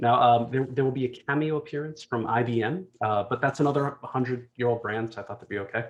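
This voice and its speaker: This voice has a New Jersey accent and a very fast pace. Its pitch variation is ordinary. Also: man. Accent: New Jersey American. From US, New Jersey. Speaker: executive speaker. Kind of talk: conference talk.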